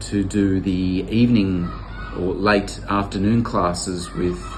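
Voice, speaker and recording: Speaking very slowly with an Australian accent, a man is heard over noticeable background noise with audible room echo. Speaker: volunteer teacher. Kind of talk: testimonial interview. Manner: halting, many fillers and repeats.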